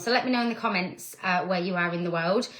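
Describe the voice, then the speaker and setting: In a northern English accent, the voice has a bright, sharp tone and lively intonation at a fairly quick pace. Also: woman. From northern England. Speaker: direct sales team leader. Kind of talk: live stream talk. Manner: casual, chatty.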